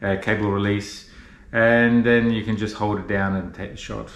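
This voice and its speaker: A man speaks at a fairly low pitch with fairly even intonation. Audible room echo surrounds his voice. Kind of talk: tutorial. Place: home room. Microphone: camera far.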